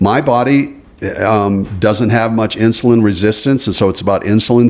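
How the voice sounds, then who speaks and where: It is an ordinary speaking voice with an American accent. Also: man. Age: 60s. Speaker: podcast co-host. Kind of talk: casual chat.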